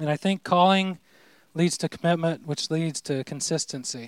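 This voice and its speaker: A man talks in a normal speaking voice with fairly even intonation. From southern Indiana, rural. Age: 40s. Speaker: pastor. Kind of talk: testimony.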